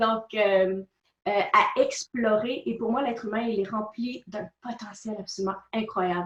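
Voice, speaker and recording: A woman's fairly high voice in a Quebec accent at a very slow pace. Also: fairly even intonation. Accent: Québécois French. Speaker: personal development speaker and author. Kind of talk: interview.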